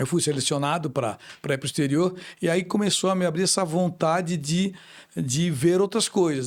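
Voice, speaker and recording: A man has a plain, everyday voice. He talks at a moderate pace with ordinary pitch variation over a very clean recording with a silent background. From Brazil, Florianópolis. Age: 60s. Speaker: businessman. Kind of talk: interview.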